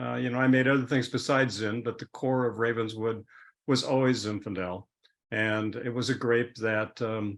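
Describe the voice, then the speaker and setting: The delivery is monotone and flat, held to a moderate pace. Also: man. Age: 70s. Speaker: winemaker. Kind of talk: interview. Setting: video call.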